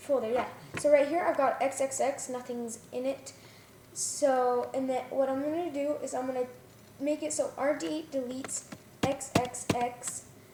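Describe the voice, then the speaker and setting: A woman speaks at a moderate pace in a high pitch with fairly even intonation, and there is noticeable background noise. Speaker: coding tutorial maker. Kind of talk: tutorial. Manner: halting.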